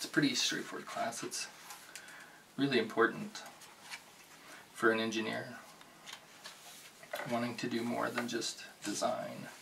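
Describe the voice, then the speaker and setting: A soft-spoken man talks at a moderate pace with long, frequent pauses over noticeable background noise. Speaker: bookstore cashier role play. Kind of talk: ASMR roleplay. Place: home room. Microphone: studio mic.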